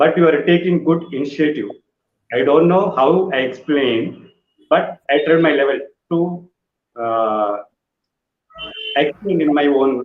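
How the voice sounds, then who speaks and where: A man with a Telugu accent and a fairly high pitch, fairly slow in pace, with long, frequent pauses and ordinary pitch variation. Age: 40s. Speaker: physiotherapist, clinic founder. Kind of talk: interview podcast chat. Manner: halting.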